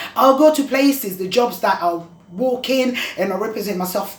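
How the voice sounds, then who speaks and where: Audible room echo surrounds the voice. Noticeable background noise is present too. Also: woman. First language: not English. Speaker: vlogger talking about dyslexia. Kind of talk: personal testimony vlog. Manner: halting, with restarts.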